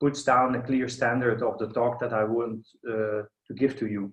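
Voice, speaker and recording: A man with a Flemish accent, medium pitch and a moderate pace. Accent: Flemish Belgian. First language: Dutch (Flemish). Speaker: architect and professor. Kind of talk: online lecture. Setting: video call. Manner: halting, many fillers.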